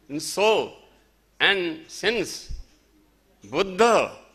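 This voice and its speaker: The speech comes at a very slow pace with a Nepali accent. The tone is bright and sharp. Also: man. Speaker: festival speaker. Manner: halting.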